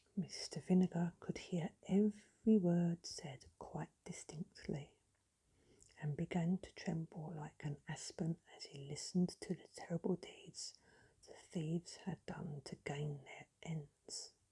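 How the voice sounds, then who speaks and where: A woman with a dark, mellow tone, somewhat breathy, at a fairly low pitch, fairly even intonation and a very slow pace. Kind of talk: sleep story. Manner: whispered, soft-spoken.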